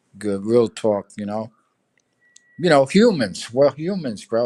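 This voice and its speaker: A man with a New York accent has a dark, mellow tone. He speaks at a moderate pace, and the sound is dry and close, with no echo. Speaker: livestreamer. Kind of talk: casual chat.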